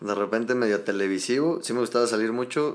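Here a man speaks with ordinary pitch variation. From Mexico City. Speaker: podcast guest, health sector worker. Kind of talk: casual chat.

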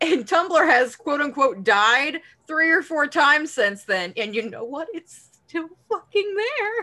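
At a fairly slow pace, a woman uses a raised, projected voice with a high pitch. Her pitch swings very widely. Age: 20s. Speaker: podcast co-host. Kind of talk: casual chat.

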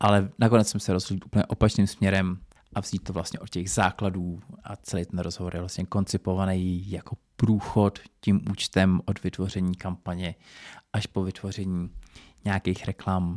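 The recording is very clean, with a silent background. A man speaks in a very deep, low pitch with monotone, flat intonation. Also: moderate pace. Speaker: podcast host. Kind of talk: solo podcast monologue. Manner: casual.

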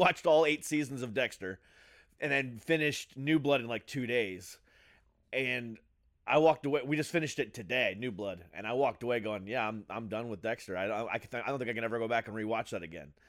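A man talks at a fairly quick pace with a medium pitch and a fairly bright tone. His pitch variation is ordinary.

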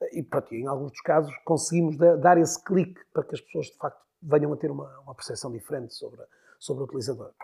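A man with a dark, mellow tone and a somewhat breathy voice speaks at a very fast pace, showing ordinary pitch variation and big swings in loudness. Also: fairly high pitch for a man. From northern Portugal, Porto. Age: 40s. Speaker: LinkedIn consultant. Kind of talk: interview. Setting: studio.

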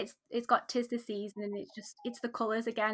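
A woman with a British accent has a fairly high voice that is bright and sharp. The recording is very clean, and the background is silent. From UK. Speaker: craft business owner and pattern designer. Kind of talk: casual interview chat.

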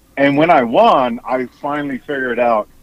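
A man's medium-pitched voice at a moderate pace, intonation fairly even, dry and close with no echo, music in the background. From South Auckland, New Zealand. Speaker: CEO and inventor, former elected official. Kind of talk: casual interview chat.

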